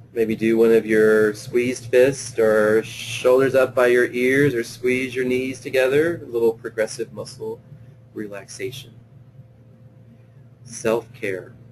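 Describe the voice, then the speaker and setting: Speaking at medium pitch and a fairly slow pace, a man keeps his intonation monotone and flat. Noticeable background noise runs underneath. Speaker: play therapist presenting a webinar. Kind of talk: webinar lecture; guided visualization. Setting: online webinar. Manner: hesitant, many fillers.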